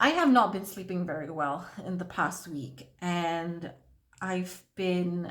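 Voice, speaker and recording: A somewhat breathy woman's voice at medium pitch, ordinary pitch variation, with audible room echo. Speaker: beauty vlogger. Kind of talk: makeup tutorial with casual chat. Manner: halting.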